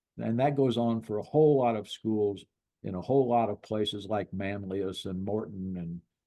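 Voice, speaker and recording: Here a man talks at a fairly low pitch. His pace is moderate, with ordinary pitch variation. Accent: Midwestern US. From Illinois. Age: 80s+. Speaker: sportswriter and author. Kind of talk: interview. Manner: halting, many repetitions.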